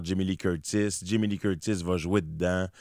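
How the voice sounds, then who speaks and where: A man with a very deep, low voice speaks in a fairly even intonation, recorded very cleanly against a silent background. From Quebec. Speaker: actor. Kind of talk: radio interview. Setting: studio. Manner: hesitant, many repetitions.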